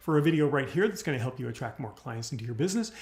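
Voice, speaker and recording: A man talks with lively intonation at a fairly high pitch. His voice is somewhat breathy. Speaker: business coach. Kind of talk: livestream tutorial. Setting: live video stream. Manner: fast; animated.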